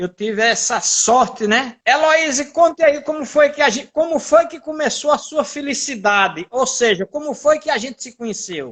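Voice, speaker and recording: A man speaks at an extremely high pitch with lively intonation and big swings in loudness. His pace is moderate, with hardly any pauses. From Brazil, Paraíba (Serraria, João Pessoa). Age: 60s. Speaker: journalist. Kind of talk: casual chat. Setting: house.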